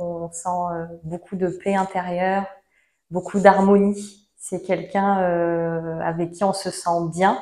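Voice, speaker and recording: Very slow, monotone and flat, a woman's medium-pitched voice with a dark, mellow tone. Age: 30s. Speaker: seminar participant. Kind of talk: testimony. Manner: halting.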